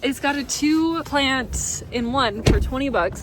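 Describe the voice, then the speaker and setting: A woman is heard talking through noticeable background noise. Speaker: lifestyle vlogger. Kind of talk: casual vlog talk to camera. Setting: out and about, stores and diner.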